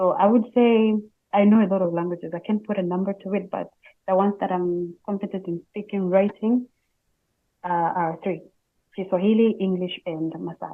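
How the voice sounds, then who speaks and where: A woman speaks with fairly even intonation and long, frequent pauses. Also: medium pitch for a woman, moderate pace. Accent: East African. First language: Swahili. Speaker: Swahili instructor. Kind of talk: interview.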